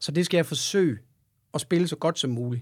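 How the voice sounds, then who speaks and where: A man's fairly high voice with lively intonation, on a very clean recording against a silent background. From Denmark, Aarhus. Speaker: rock guitarist and singer. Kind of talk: casual interview.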